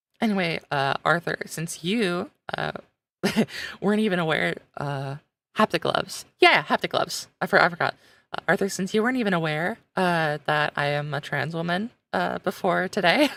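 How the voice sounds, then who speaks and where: A woman speaks at a fairly low pitch and a moderate pace, with vocal fry and ordinary pitch variation. The recording is very clean with a silent background and a dry, close sound with no echo. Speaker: game streamer. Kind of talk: casual livestream chat.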